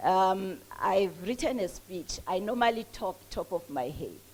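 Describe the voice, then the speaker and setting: A woman talks with a Mpumalanga South African accent and lively intonation. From South Africa, Mpumalanga. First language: Swati. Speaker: entrepreneur and author. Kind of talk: speech at a book launch. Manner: halting.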